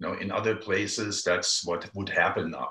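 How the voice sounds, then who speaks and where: A man talks at a moderate pace. The room echo is audible, though the background stays quiet. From Germany. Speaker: environmental campaigner. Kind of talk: casual chat. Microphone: video call.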